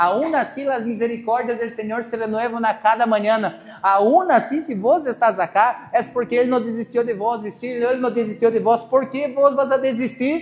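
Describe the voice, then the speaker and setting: An extremely high-pitched man at a moderate pace, hardly any pauses, ordinary pitch variation, over noticeable background noise. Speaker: pastor. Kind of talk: sermon.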